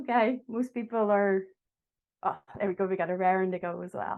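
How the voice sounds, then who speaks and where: A woman speaks with a Derry accent at a moderate pace. Her medium pitch moves with lively intonation. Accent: Derry Irish. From Northern Ireland, Derry. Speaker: agile coach. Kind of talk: online talk to an audience. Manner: friendly, engaging.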